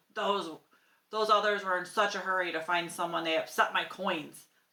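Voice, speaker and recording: This put-on character voice is raspy, growling and rumbling. It moves at a moderate pace with fairly even intonation. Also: woman, medium pitch for a woman. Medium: read story. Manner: growling, grumbling.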